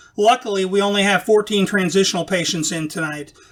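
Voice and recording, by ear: The pitch shifts in an ordinary way. It is a natural voice reading aloud.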